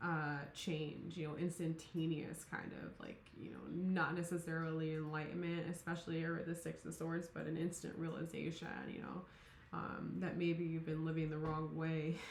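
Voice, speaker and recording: Over noticeable background noise and audible room echo, a woman speaks in a flat monotone. Her pitch is fairly low and her pace moderate. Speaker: tarot reader. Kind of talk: tarot reading monologue. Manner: mumbling, many fillers; casual, rambling.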